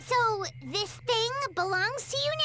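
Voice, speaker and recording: In a cartoonish character voice, a woman squeaks at an extremely high pitch over clear background noise. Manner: chirpy, excitable.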